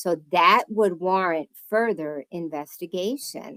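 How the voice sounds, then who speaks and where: A woman with a New Jersey accent, medium pitch and lively intonation, in a dry, close sound with no echo. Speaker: oil heat specialist and realtor. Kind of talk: presentation to home inspectors. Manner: casual, conversational.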